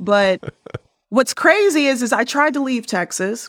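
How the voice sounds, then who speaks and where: In an American accent, a woman speaks in an animated tone with ordinary pitch variation on a very clean recording with a silent background. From Chicago. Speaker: MBA graduate, investment banker. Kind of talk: interview.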